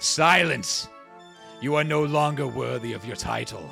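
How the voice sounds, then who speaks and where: A man's gruff, put-on character voice at medium pitch and a moderate pace, with clear music in the background. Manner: stern, commanding.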